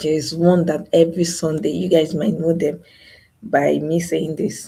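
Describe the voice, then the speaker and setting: Vocal fry marks a woman's dark, mellow tone. Her pitch is very deep and low, and her intonation stays fairly even. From Nigeria. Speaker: YouTuber. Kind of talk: live stream monologue. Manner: soft-spoken.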